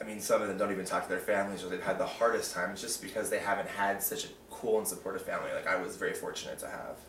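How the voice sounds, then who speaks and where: Talking at a very fast pace with hardly any pauses, a man is heard with audible room echo and light background noise. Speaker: interviewee sharing coming-out experience. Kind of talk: casual interview. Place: home room. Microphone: camera far.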